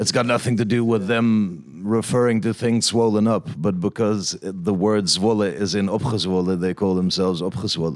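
A man with a fairly low voice talks fairly slowly, with ordinary pitch variation and hardly any pauses. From Netherlands. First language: Dutch (speaking French). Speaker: rapper. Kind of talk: interview.

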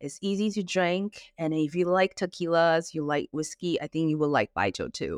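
An ordinary speaking voice at a moderate pace, with lively intonation and a dry, close sound with no echo. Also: woman. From Taiwan, raised in Singapore, London and Vancouver. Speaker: destination wedding planner. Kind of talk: interview. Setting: remote call.

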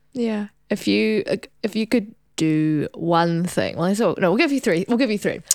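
With a New Zealand accent, a woman speaks at a moderate pace and medium pitch. Her intonation is lively and her loudness very even. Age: 20s. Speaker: podcast host and doctor. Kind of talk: interview.

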